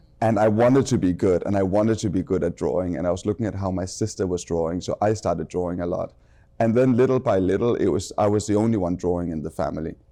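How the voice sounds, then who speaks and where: A man with a Danish accent, his fairly low voice dark and mellow, at a very fast pace with ordinary pitch variation. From Denmark. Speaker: fashion designer. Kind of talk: casual interview chat.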